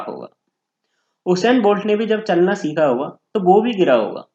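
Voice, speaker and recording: A man speaks at a high pitch. Music plays in the background. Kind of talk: educational explainer talk to camera.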